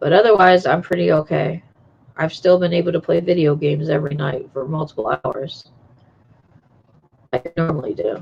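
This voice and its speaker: Somewhat breathy speech at a fairly quick pace, with ordinary pitch variation and long, frequent pauses. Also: woman, fairly low pitch for a woman. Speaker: streamer. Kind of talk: casual chat.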